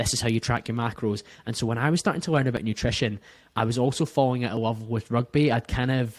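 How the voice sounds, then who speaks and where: Over a silent background in a very clean recording, a man with a Scottish accent talks very fast at a medium pitch with fairly even intonation. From Scotland, near Glasgow. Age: 30s. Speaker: podcast host, guest. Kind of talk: casual interview chat.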